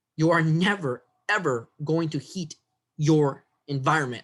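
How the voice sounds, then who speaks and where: The man talks at a moderate pace, his fairly high pitch showing ordinary variation. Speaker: biology instructor. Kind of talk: lecture.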